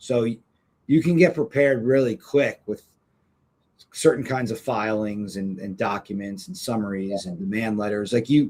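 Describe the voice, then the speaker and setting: A man with a plain, everyday voice at medium pitch, with lively intonation, a moderate pace and big swings in loudness. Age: 40s. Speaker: personal injury lawyer. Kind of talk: podcast interview.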